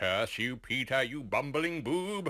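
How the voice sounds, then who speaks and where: Putting on a character voice, a man speaks at a fairly slow pace with a medium pitch. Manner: menacing, theatrical.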